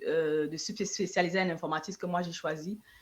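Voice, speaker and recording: Her voice sits at a medium pitch, and the pitch varies in an ordinary way as this woman talks. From Cameroon (Yaoundé). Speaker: entrepreneur and IT analyst. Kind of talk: interview. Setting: online live stream. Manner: hesitant, many fillers.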